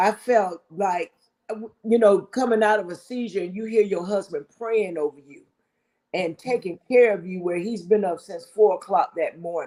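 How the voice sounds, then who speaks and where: Fairly high in pitch with ordinary pitch variation, a woman speaks in a plain, everyday voice. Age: 60s. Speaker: married guest sharing relationship advice. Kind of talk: casual talk show chat.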